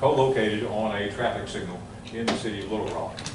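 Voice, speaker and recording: A man talks at a fairly quick pace in a monotone, flat delivery. Audible room echo and noticeable background noise surround him. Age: 60s. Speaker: city official. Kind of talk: council presentation. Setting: city council meeting. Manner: halting, many fillers.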